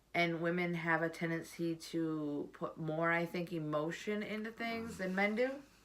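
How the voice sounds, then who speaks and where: A woman talking with hardly any pauses over noticeable background noise. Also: fairly low pitch for a woman, ordinary pitch variation, moderate pace. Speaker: vlogger. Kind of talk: casual chat. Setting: at home. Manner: loud.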